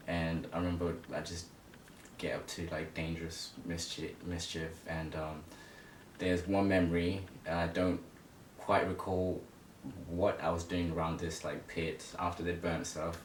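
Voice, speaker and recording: The speech is a flat monotone at a fairly slow pace, with long, frequent pauses. Room echo is audible. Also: man, very deep, low pitch for a man. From Zimbabwe, moved to England at nine. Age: 20s. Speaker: interview guest telling life story. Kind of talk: casual interview.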